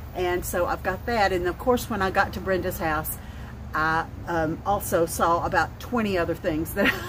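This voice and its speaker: Talking over noticeable background noise, a woman with a Southern US accent has a fairly low pitch and ordinary pitch variation. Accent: southern drawl. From North Alabama. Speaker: vlogger. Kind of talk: casual chat. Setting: outdoors.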